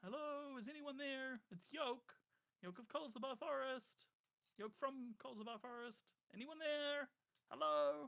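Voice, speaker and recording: Using a put-on character voice, the speaker goes at a fairly slow pace in a high pitch. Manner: shouting, calling out to find someone.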